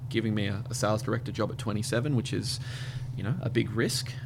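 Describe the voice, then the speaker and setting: Speaking fairly quickly with an Australian accent, a man keeps a medium pitch and a monotone, flat intonation. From Australia, Brisbane. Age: 30s. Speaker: radio network manager. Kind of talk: casual interview.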